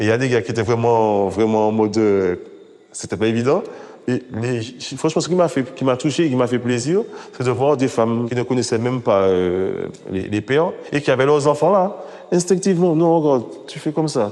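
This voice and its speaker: With lively intonation, the speaker keeps a moderate pace broken by long, frequent pauses. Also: man, medium pitch for a man. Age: 40s. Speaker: father in a parenting association. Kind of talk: documentary interview testimony.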